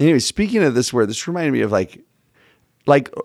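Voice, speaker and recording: This man talks at a very fast pace with an American accent. The recording is very clean, and the background is silent. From Texas. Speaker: religion teacher and podcast co-host. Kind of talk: casual interview chat. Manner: animated.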